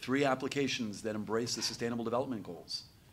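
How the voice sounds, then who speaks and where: A man with a plain, everyday voice, medium pitch, and fairly even intonation. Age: 60s. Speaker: panel moderator. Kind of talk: panel discussion.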